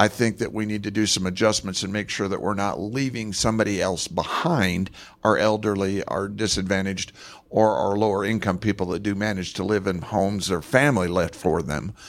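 A man with an American accent and an unremarkable speaking voice, fairly low in pitch, fairly quick in pace, with fairly even intonation. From Moab, Utah (from Los Angeles as a child). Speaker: city council candidate. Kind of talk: candidate debate. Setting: public library, live radio broadcast with audience.

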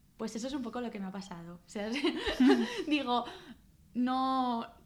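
A woman speaks in a normal speaking voice, her fairly high pitch moving with ordinary variation at a moderate pace. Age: 20s. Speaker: restaurant owner. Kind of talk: interview.

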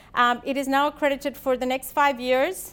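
The recording is very clean, with a silent background. A woman with a high voice speaks at a fairly quick pace. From India. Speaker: orthodontist and course educator. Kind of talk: lecture. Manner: halting, many fillers.

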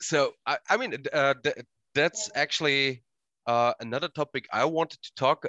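A man's fairly high voice, with ordinary pitch variation and a moderate pace. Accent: German. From Austria. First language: German. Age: 30s. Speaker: podcast host and wrestling coach. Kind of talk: casual chat. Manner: halting.

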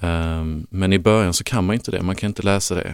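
Speaking at a moderate pace with fairly even intonation, a man with a very deep, low pitch comes through on a very clean recording with a silent background. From Lund, Skåne, southern Sweden. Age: 30s. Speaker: parent of child with diabetes. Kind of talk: interview. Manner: halting.

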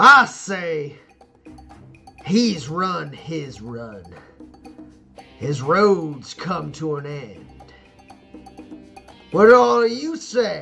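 A man puts on a booming, gravelly character voice at a fairly high pitch, with very wide pitch swings. He speaks very slowly with long, frequent pauses as faint music plays in the background. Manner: commanding, menacing.

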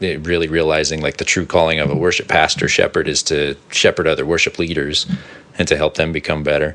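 Noticeable background noise sits behind a man speaking at a moderate pace. His voice is very deep and low. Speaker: worship pastor and podcast host. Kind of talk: casual chat.

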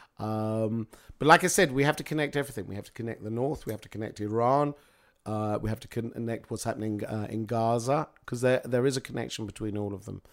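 A man with a British accent at a very fast pace, ordinary pitch variation and big swings in loudness, on a very clean recording with a silent background. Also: medium pitch for a man. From Britain. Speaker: public speaker on Middle East politics. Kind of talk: interview. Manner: halting, many fillers.

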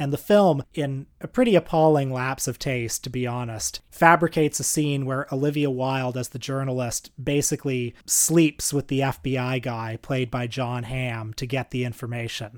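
Recorded with a dry, close sound and no echo, a man speaks in an ordinary speaking voice at medium pitch and a moderate pace, with fairly even intonation and hardly any pauses. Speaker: podcast host. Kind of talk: casual chat.

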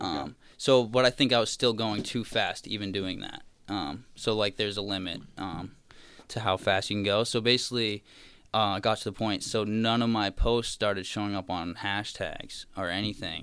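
A man with an American accent speaks at a moderate pace in a plain, everyday voice, fairly low-pitched with fairly even intonation. The recording is very clean, with a silent background. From Massachusetts, South Shore (Marshfield/Plymouth). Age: 20s. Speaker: meme creator. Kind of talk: casual chat.

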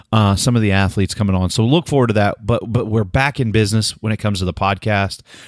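With an American accent, a man talks very fast in a fairly low voice, with hardly any pauses, on a very clean recording with a silent background. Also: ordinary pitch variation. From Oklahoma. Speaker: podcast co-host, rodeo TV analyst. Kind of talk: casual chat. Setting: studio recording.

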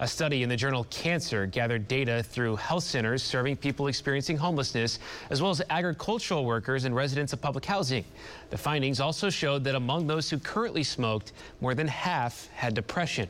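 At a very fast pace, a man talks with ordinary pitch variation and very even loudness. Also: medium pitch for a man. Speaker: TV news anchor. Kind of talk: news reading. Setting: TV studio. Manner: formal, measured newscaster delivery.

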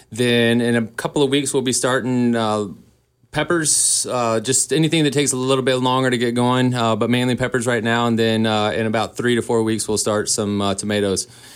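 This man talks at a moderate pace with a medium pitch and ordinary pitch variation. Noticeable background noise runs under the recording. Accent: American. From Boone, North Carolina. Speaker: garden center owner. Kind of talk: radio interview. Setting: studio.

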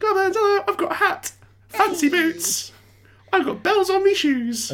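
A put-on character voice, extremely high in pitch, at a fairly slow pace. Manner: cheerful, chirpy.

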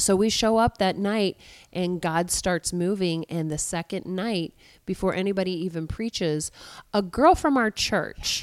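This is an ordinary speaking voice: a woman at a medium pitch, with ordinary pitch variation and a fairly slow pace. The sound is dry and close with no echo, on a very clean recording with a silent background. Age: 40s. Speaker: pastor. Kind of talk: interview.

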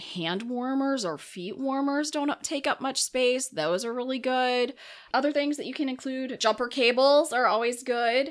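A high-pitched woman with an American accent, moderate pace and ordinary pitch variation, on a very clean recording with a silent background. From Minnesota, US Upper Midwest. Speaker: county emergency manager. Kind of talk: casual interview. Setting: studio.

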